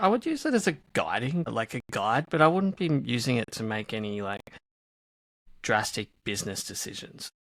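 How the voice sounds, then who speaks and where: A man speaks with an Australian accent at a moderate pace. His tone is bright and sharp, and the sound is dry and close with no echo. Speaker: e-commerce marketer. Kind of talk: casual chat. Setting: remote recording.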